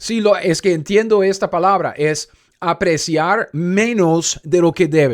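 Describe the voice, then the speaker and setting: Speaking fairly slowly in an animated tone with a non-native accent, the voice shows ordinary pitch variation. The recording is very clean, with a silent background. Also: man. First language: not Spanish (speaking Spanish). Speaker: Bible teacher. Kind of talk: Bible study teaching.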